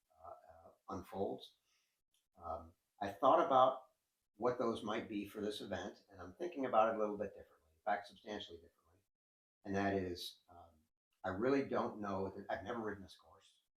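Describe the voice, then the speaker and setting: A man's fairly low voice with ordinary pitch variation, a fairly quick pace and long, frequent pauses. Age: 60s. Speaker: endurance cyclist and coach. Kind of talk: interview. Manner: hesitant, with frequent fillers.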